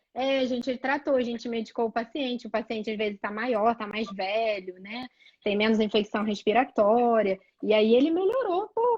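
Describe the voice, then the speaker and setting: A woman with a Rio de Janeiro accent, fairly high in pitch, at a moderate pace. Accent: carioca. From Rio de Janeiro, Brazil. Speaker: pediatric allergist. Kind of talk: live medical chat.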